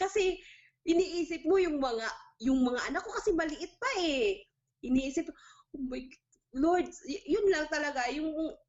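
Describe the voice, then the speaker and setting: A woman at a moderate pace. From Philippines, Mindanao (General Santos). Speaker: overseas domestic worker. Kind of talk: interview testimony.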